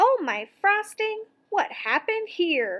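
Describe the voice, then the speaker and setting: A woman's squeaky, put-on character voice at an extremely high pitch, lively in intonation and fairly slow in pace. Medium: read story. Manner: kind, earnest.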